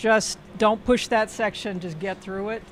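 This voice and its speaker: A woman speaks in a plain, everyday voice at medium pitch. Her pace is moderate and her pitch varies in an ordinary way. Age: 60s. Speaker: ultramarathon runner. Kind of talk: casual interview.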